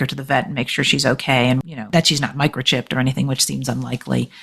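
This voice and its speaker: A woman talks at a very fast pace with vocal fry. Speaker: author and journalist. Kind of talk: interview.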